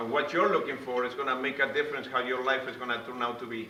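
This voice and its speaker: A man at a very fast pace and medium pitch with an Uruguayan accent, fairly even intonation, audible room echo and noticeable background noise. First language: Spanish. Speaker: motivational speaker. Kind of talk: motivational talk. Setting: room with live audience.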